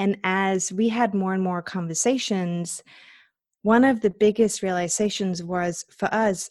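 Recorded dry and close with no echo against a quiet background, a woman with a Danish accent speaks at a medium pitch and with fairly even intonation. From Denmark. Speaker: cryptocurrency investor and entrepreneur. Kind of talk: interview, explaining.

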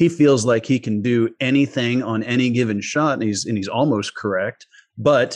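Medium pitch and ordinary pitch variation in a man's voice. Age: 40s. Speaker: golf strategy coach and former pro golfer. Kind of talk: podcast interview.

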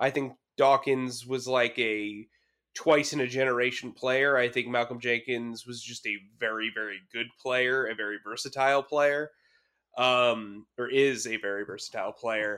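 A man's medium-pitched, bright, sharp voice at a moderate pace, monotone and flat in intonation, on a very clean recording with a silent background. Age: 30s. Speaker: sports journalist. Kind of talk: casual chat.

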